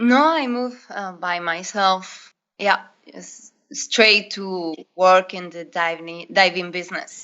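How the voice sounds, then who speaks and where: A woman's medium-pitched, bright, sharp voice at a very slow pace, with big swings in loudness, ordinary pitch variation and a quiet background. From northern Spain. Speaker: diving instructor. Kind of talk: interview. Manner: hesitant, non-native phrasing.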